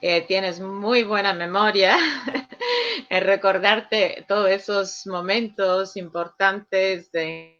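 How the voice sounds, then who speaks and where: A woman's very slow, monotone delivery at medium pitch, with a non-native accent and flat intonation. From Sicily, Italy. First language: Sicilian/Italian (speaking Spanish). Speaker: director of an international Jesuit office. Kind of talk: radio interview. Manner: hesitant, with filler sounds.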